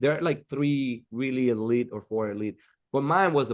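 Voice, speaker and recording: A man speaks with a Dominican accent against a quiet background. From Dominican Republic. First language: Spanish. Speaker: architect. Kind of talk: interview.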